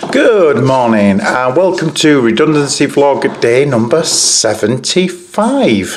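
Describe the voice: Audible room echo surrounds a man speaking at a slow pace. His pitch swings widely. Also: medium pitch for a man.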